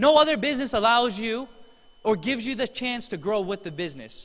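A man speaks at a fairly quick pace. His tone is animated. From US, Korean immigrant parents. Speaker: network marketing distributor; presenter. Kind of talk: motivational speech. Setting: stage with audience. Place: hall. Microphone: handheld.

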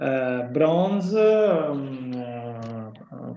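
Someone speaks with an Italian accent, and audible room echo surrounds the voice. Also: man. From Italy. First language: Italian (speaking Portuguese). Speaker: professor of physics. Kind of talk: lecture. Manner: halting. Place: home room. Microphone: webcam.

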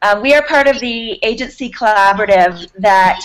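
A woman talks at a moderate pace with ordinary pitch variation. Light background noise sits behind her. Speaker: guest. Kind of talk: interview answer. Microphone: video call.

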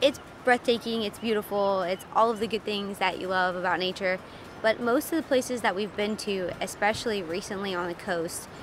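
A woman is heard with a dry sound that has no echo, though there is noticeable background noise. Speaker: travel vlogger. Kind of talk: casual vlog chat. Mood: mildly disappointed, candid. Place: open country. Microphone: phone near.

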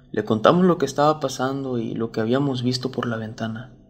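A man at a medium pitch and moderate pace with fairly even intonation and music in the background. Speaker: storyteller reading a viewer-submitted true story. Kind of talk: ghost story telling, first-person horror narration.

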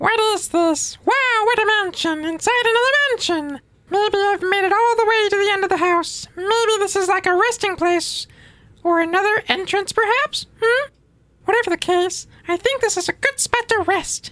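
A put-on character voice pitched extremely high. It moves at a moderate pace. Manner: dumb, goofy.

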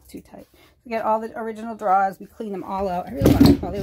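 A woman's voice amid loud background noise. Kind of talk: casual vlog chat. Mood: relaxed and proud. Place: home room. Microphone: phone near.

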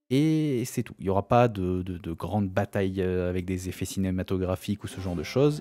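With music in the background, a man talks in a very deep, low pitch with ordinary pitch variation and hardly any pauses. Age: 30s. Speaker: gaming YouTuber. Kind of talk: let's play commentary. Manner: hesitant, many filler sounds.

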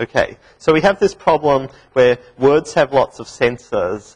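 The speaker has an Australian accent and a somewhat breathy voice, moving at a fairly slow pace with ordinary pitch variation. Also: man. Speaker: university lecturer. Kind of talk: lecture. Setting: classroom with small studio audience. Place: classroom.

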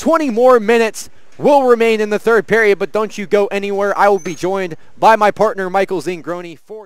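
A man talks at a fairly quick pace in a high voice with an upbeat tone. His pitch varies an ordinary amount. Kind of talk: live sports commentary. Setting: rink broadcast, live game. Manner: upbeat showman tone with quips.

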